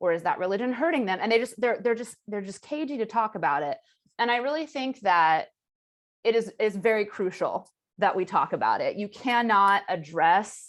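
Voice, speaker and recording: Lively intonation marks this woman's speech on a very clean recording with a silent background. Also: fairly high pitch for a woman. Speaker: panelist, writer and survivor advocate. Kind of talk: panel discussion. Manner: fast.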